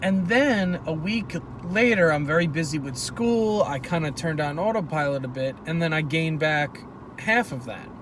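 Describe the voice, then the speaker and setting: A man's fairly high voice, lively in intonation, moves at a moderate pace amid noticeable background noise and audible room echo. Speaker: vlogger. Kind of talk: casual monologue. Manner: stuttering, hesitant.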